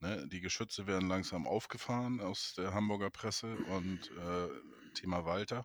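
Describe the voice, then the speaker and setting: A man with a normal speaking voice, a fairly slow pace and fairly even intonation. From Neustadt in Holstein, northern Germany. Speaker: football fan podcast host. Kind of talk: casual chat.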